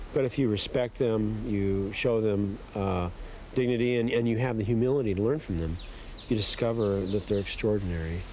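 The tone is dark and mellow, with ordinary pitch variation at a fairly quick pace. The sound is dry with no echo, over light background noise. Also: man. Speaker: interviewee. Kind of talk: interview answer. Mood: earnest, reflective. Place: forest.

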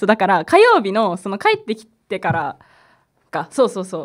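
In a quiet background, a woman speaks at a moderate pace with a fairly high pitch. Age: 20s. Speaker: community radio host. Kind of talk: live radio talk. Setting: radio studio. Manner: hesitant with frequent fillers; laughs often. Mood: relaxed, friendly. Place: studio. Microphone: studio mic.

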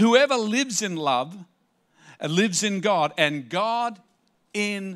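A man talks at a very slow pace with a quiet background. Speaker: pastor. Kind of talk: sermon. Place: stage. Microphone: handheld.

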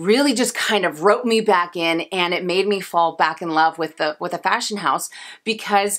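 Against a quiet background, a woman with a bright, sharp tone talks at a fairly slow pace, with ordinary pitch variation. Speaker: fashion vlogger. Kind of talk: casual vlog chat. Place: home room.

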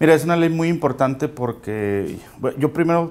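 In a northern Mexican accent, a man talks at a moderate pace with lively intonation. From Mexico, Chihuahua. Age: 30s. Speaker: local politician. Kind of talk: interview. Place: studio. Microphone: lapel.

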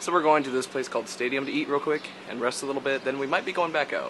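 A man rushes along very fast with fairly level intonation, noticeable noise behind him. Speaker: vlogger. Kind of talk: casual vlog chat. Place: waterside. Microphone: phone near.

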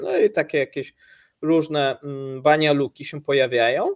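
A man is speaking. The background is quiet. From Poland. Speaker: economics news channel co-host. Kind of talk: live stream chat with viewers. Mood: relaxed, festive. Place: home room. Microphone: video call.

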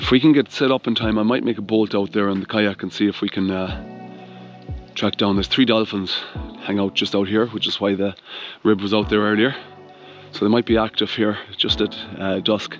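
A man's fairly low voice over faint background music. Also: fairly even intonation, dry sound with no echo. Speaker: adventure vlogger. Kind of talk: casual vlog chat. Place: waterside. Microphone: phone near.

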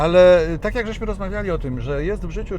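With clear background noise present, the man rattles off his words very quickly. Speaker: film voice-over narrator (lektor). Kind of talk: interview answer.

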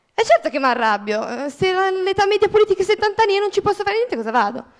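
Against a quiet background, a woman talks at a very fast pace in an extremely high pitch. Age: 20s. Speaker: student, audience member; audience member. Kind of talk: audience question. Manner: indignant. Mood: frustrated, passionate. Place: hall. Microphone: handheld.

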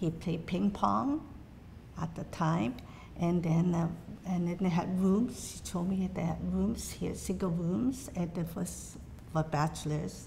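A woman with a dark, mellow tone and vocal fry speaks fairly slowly at a fairly low pitch. Her intonation is lively, with light background noise behind her. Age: old. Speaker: Chinese association elder. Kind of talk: oral history interview answer. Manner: hesitant, many fillers. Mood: warm, reflective, gently animated. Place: hall.

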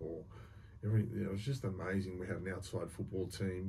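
A man speaks at a very fast pace in a very deep, low, somewhat breathy voice with a dark, mellow tone. His intonation is fairly even, over light background noise. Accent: Australian. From Australia. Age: 50s. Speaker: former prisoner, reformed bank robber. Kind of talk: storytelling interview, casual talk. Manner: casual, colloquial, swears. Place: studio. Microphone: studio mic.

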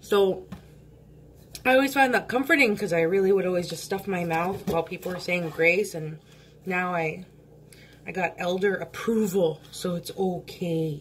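A woman puts on a raspy character voice at medium pitch, speaking at a moderate pace with long, frequent pauses. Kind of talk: casual, joking.

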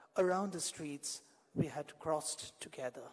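The background stays quiet while a man talks. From India (Kolkata). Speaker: poet. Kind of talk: poetry reading. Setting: stage with audience. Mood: wistful, romantic. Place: stage. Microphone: podium.

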